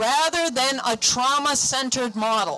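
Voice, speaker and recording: With music in the background, a woman speaks in a raised, projected voice at a high pitch and moderate pace, her intonation lively. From New England. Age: 50s. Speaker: mental health counselor. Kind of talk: speech at a rally.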